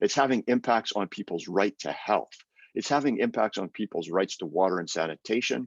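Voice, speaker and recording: This man has an unremarkable speaking voice with a Canadian accent and talks at a moderate pace. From Canada. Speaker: UN human rights expert. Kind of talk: webinar presentation.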